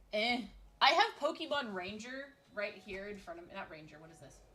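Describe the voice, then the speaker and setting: A woman speaks in an animated tone at a fairly high pitch. Her intonation is lively. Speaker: vtuber streamer. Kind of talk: casual gameplay stream chat. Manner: loud, ranting.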